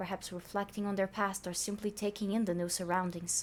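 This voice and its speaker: A woman with a non-native accent speaks at a moderate pace. Her intonation is monotone and flat. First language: not English. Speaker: youtuber reacting to fanfiction. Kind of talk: casual reaction commentary; reading aloud with commentary. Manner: stuttering.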